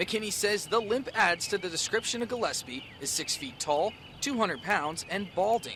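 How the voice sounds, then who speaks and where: With an American accent, a high-pitched man speaks fairly quickly with lively intonation. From New York State, Warwick. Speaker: TV news reporter. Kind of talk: news report; live shot. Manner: casual.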